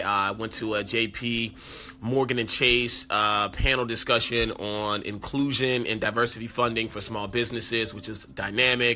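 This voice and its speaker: With a bright, sharp tone and hardly any pauses, a man talks at a medium pitch. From New Orleans, Louisiana. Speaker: podcast host, entrepreneur and speaker. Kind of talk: solo podcast monologue. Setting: on location in New Orleans. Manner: casual, filler-heavy.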